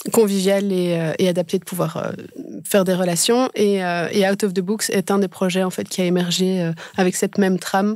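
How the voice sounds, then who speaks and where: This woman's voice is medium in pitch and monotone and flat in intonation, delivered at a moderate pace. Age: 40s. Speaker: education event organizer. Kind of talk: podcast interview. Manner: hesitant, many fillers.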